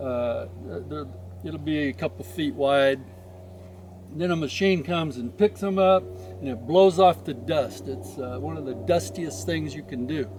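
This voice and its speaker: Over noticeable background noise, a man talks at a fairly slow pace, his pitch swinging very widely and his loudness rising and falling sharply. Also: medium pitch for a man. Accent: American. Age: old. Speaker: almond farmer. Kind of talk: casual farm tour talk.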